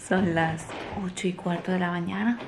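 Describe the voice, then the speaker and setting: Over light background noise, a woman speaks very slowly in a fairly low voice with fairly even intonation. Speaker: family vlogger, stay-at-home mother. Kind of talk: casual vlog talk to camera. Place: home room. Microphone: phone near.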